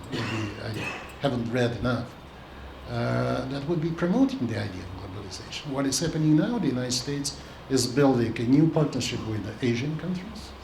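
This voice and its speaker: With a Russian accent, a man speaks at a fairly quick pace with a medium pitch and ordinary pitch variation over noticeable background noise. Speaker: diplomat, ambassador. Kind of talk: public talk.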